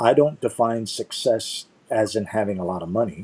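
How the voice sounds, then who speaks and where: Here a man speaks at a moderate pace with a dark, mellow tone and medium pitch. His intonation is lively, and the sound is dry and close with no echo. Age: 60s. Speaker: leadership speaker and Navy veteran. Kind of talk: casual chat.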